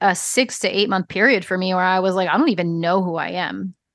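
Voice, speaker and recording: This is an unremarkable speaking voice with an American accent. It moves at a fairly quick pace over a quiet background. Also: woman. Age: 40s. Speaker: business coach. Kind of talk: casual chat.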